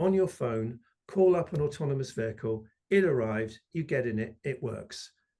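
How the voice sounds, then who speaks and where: Lively intonation in a British accent, somewhat breathy, at a moderate pace over a quiet background. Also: man. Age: 60s. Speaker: electric mobility expert. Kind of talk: interview. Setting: video call.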